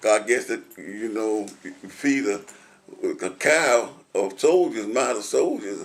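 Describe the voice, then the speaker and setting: A man in a Middle Tennessee accent, very slow, with long, frequent pauses. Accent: Southern US, Middle Tennessee. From Williamson County, Tennessee. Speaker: retired concrete truck driver and war veteran. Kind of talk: oral history interview answer.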